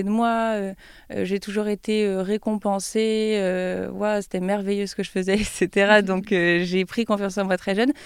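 A woman speaks fairly slowly at a medium pitch with monotone, flat intonation. The recording is very clean, with a silent background. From France, Troyes. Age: 20s. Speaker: YouTuber and business student. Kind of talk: interview.

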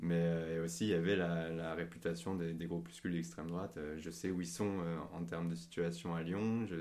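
A man speaks in a very deep, low pitch with a dark, mellow tone. His delivery is monotone and flat at a moderate pace, with audible room echo. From Paris, France. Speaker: podcast guest. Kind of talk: casual chat.

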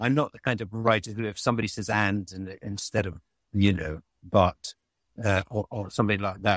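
Speaking at a moderate pace, a man keeps his fairly low pitch fairly even. The sound is dry and close, with no echo. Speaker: writer. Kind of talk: casual chat. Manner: halting.

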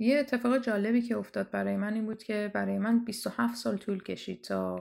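A woman's speech at a moderate pace in a very clean recording with a silent background. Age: 30s. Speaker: storyteller sharing personal story. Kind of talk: personal testimony.

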